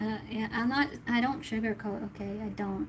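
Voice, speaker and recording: A woman with a fairly high pitch and fairly even intonation talks at a moderate pace as noticeable background noise carries on behind her. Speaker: tarot reader. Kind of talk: tarot reading livestream.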